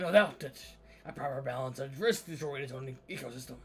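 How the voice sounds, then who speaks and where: A man uses a put-on character voice that is raspy, at a medium pitch. He talks at a fairly quick pace over clear background noise. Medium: game stream. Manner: solemn, storytelling.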